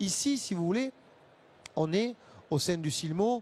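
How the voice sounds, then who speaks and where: In a dry, close sound with no echo, a man speaks at a fairly slow pace with lively intonation. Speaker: association representative for the visually impaired. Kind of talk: panel debate.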